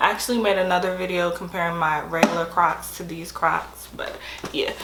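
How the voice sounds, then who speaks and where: At medium pitch, a woman speaks amid noticeable background noise and audible room echo. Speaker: sneaker unboxing vlogger. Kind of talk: casual unboxing vlog. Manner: casual, chatty.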